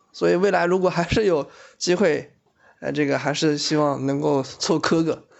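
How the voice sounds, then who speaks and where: With a normal speaking voice, a man talks at a moderate pace, his pitch fairly high and its variation ordinary. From Shanghai. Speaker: office worker, friend of host. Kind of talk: casual chat.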